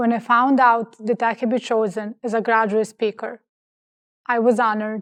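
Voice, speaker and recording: At a moderate pace, someone with a non-native accent speaks in a monotone, flat intonation, with a dry, close sound with no echo and a quiet background. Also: woman. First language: not English. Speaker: graduate student speaker. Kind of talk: commencement speech.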